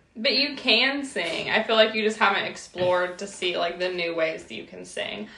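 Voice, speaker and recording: A woman speaks at a medium pitch and a moderate pace. Noticeable background noise is present. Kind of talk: casual chat.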